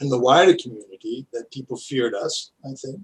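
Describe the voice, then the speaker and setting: A man talks at a fairly high pitch in a somewhat breathy voice. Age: 70s. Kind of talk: interview answer.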